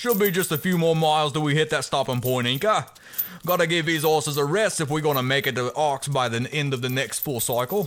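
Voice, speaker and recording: A man uses a gruff, put-on character voice at a fairly high pitch with ordinary pitch variation. He moves at a fairly quick pace. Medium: audio drama. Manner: gruff, bossy, cruel.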